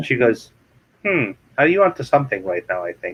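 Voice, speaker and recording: A man at medium pitch speaks with an Arabic accent. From Kuwait. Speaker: real estate investor and author. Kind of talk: interview. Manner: animated.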